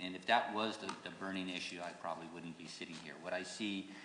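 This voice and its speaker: A man with a very deep, low pitch and fairly even intonation, at a fairly quick pace, with audible room echo and noticeable background noise. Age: 60s. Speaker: judicial candidate, lawyer. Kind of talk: candidate forum closing statement. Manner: halting, repeats words.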